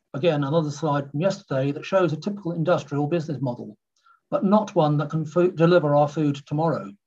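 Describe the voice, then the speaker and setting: Speaking at a very fast pace, a man uses a fairly high pitch with ordinary pitch variation and a somewhat breathy quality. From rural west of England. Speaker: agritech founder. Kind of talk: conference presentation.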